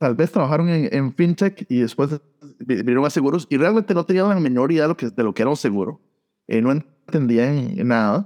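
A fairly high-pitched man at a fairly quick pace, lively in intonation and very even in loudness, in a dry, close sound with no echo over a quiet background. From Costa Rica, San José. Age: 40s. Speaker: insurance tech blogger and recruiter. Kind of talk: interview. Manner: halting, many repeated words.

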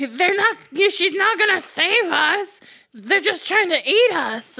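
Shouting in a put-on character voice at an extremely high pitch, a woman speaks very slowly with lively intonation and very even loudness. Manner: screaming, panicked.

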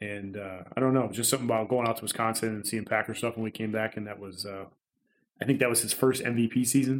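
Very fast male speech at medium pitch, intonation fairly even. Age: 30s. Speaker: friend of the hosts, guest. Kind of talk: casual chat.

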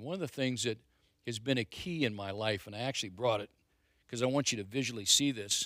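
With an ordinary speaking voice, a man talks at a fairly quick pace and ordinary pitch variation on a very clean recording with a silent background. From Ohio, Stark County. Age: 60s. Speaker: pastor. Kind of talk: testimony. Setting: church. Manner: casual.

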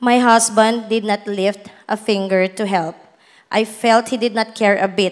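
An unremarkable speaking voice belongs to a woman with fairly high pitch. She talks at a fairly slow pace with fairly even intonation. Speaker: bank manager. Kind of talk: testimony. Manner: formal.

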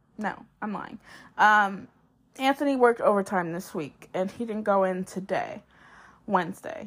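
In a very clean recording with a silent background, a woman talks at a fairly slow pace with a fairly high pitch and ordinary pitch variation. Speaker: solo podcast host. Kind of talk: casual solo monologue. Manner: casual with frequent filler words and pauses.

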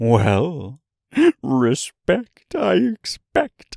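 This man is doing a put-on character voice. His pitch sits in the medium range. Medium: read story. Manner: saucy, rhyming, playful.

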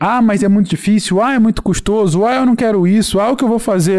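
The man's voice is high in pitch with a dark, mellow tone. He speaks at a fairly quick pace. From Rio de Janeiro state, Teresópolis. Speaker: science communicator podcast host. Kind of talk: casual interview chat.

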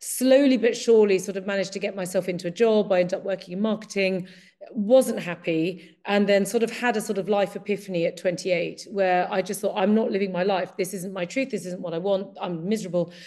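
Speaking in an English accent, a woman with a dark, mellow tone and medium pitch moves at a fairly quick pace with fairly even intonation and hardly any pauses. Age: 50s. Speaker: Chinese medicine practitioner. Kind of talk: casual chat.

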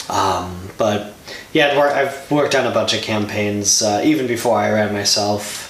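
A man with an American accent speaks at a fairly low pitch. Noticeable background noise runs underneath. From Milwaukee, Wisconsin. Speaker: state politician. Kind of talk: interview conversation.

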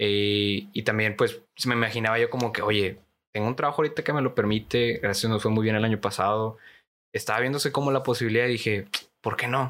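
A man with a Mexican accent at a fairly quick pace, medium in pitch, with very even loudness and fairly even intonation, on a very clean recording with a silent background. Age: 20s. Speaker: conversation club teacher. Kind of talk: casual chat.

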